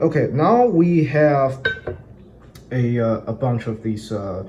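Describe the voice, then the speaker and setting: His intonation lively, a man is speaking. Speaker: home cook. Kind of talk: cooking tutorial to camera. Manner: hesitant, many filler words.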